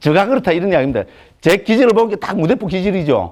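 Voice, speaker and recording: Speaking in a Gyeongsang accent, a man talks at a very fast pace in an animated tone. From Gyeongsang province, Korea. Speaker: Buddhist monk teacher. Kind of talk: lecture. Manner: animated, colloquial.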